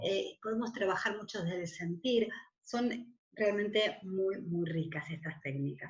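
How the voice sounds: A woman speaks at a fairly slow pace and medium pitch, with ordinary pitch variation. Audible room echo surrounds her voice.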